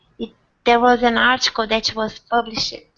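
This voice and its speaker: A woman speaks with a non-native accent in a flat, monotone delivery. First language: not English. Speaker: hangout host. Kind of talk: casual group discussion. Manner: halting, repeats words.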